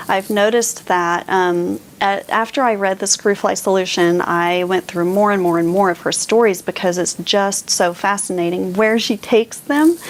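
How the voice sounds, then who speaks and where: A woman's medium-pitched voice at a moderate pace, with very even loudness and ordinary pitch variation. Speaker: booktuber, book reviewer. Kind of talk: casual book discussion to camera. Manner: animated.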